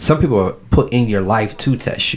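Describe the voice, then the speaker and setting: A man with a fairly low pitch speaks at a moderate pace with ordinary pitch variation. Noticeable background noise is present. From Ohio, Cleveland. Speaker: battle rapper and activist. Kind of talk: casual interview. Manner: animated.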